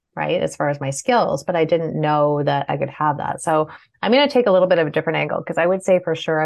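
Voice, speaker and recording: A woman with a Canadian accent speaks at a very deep, low pitch. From Canada. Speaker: business owner. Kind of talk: panel discussion.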